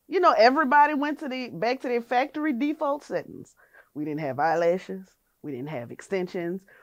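Speaking in a New Orleans accent at a high pitch, a woman talks at a fairly quick pace with very wide pitch swings and big swings in loudness, on a very clean recording with a silent background. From US South, New Orleans. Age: 30s. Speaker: hair salon owner. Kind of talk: casual interview.

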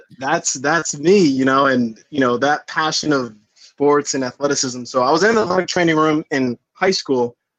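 A man with an American accent talks in an ordinary speaking voice at a moderate pace with hardly any pauses, his fairly high pitch showing ordinary variation and his loudness very even, over a quiet background with a dry, close sound and no echo. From Long Island, New York. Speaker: physical therapist. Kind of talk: casual chat.

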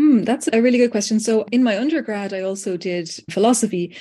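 A woman with a Dublin accent speaks at a fairly quick pace, her somewhat breathy voice having a dark, mellow tone and ordinary pitch variation. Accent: Irish (Dublin). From Ireland, Dublin. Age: 40s. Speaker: writer, lecturer and AI tool co-creator. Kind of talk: interview conversation.

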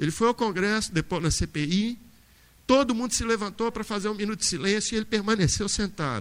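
This man speaks at a fairly quick pace in a high voice with ordinary pitch variation. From Minas Gerais, Brazil (Brumadinho). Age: 50s. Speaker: university professor, panel moderator. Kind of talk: panel discussion.

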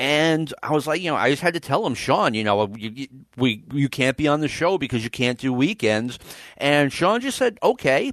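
A man with a fairly high voice and an unremarkable speaking voice talks at a moderate pace with lively intonation. The sound is dry and close with no echo, over a quiet background. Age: 50s. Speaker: wrestling podcast host. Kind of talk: casual chat.

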